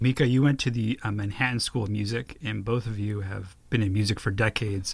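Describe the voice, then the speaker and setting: A somewhat breathy man speaks very fast in a fairly low pitch. His pitch variation is ordinary. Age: 40s. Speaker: podcast host. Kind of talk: interview. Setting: home recording studio.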